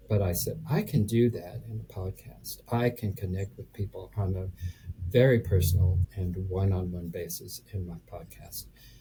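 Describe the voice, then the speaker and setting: Music plays in the background as a man speaks at a fairly low pitch with ordinary pitch variation. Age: 70s. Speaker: real estate investor. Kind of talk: interview answer. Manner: hesitant, halting.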